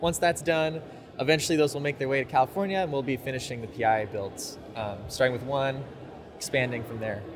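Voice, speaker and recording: An American-accented man at a medium pitch, with ordinary pitch variation and a fairly quick pace, amid noticeable background noise. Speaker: company representative. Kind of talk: interview. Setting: trade fair booth.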